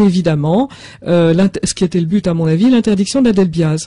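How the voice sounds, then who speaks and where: In a dry, close recording with no echo, a woman with a dark, mellow tone and a somewhat breathy sound speaks at a moderate pace with ordinary pitch variation. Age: 60s. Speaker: author of a health book. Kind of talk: radio interview with call-in.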